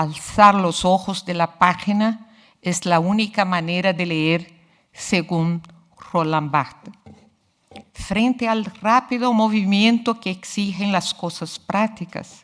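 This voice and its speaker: Speaking very slowly with a Portuguese accent, a woman keeps a medium pitch and fairly even intonation. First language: Portuguese (speaking Spanish). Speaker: literature researcher. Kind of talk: lecture. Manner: formal.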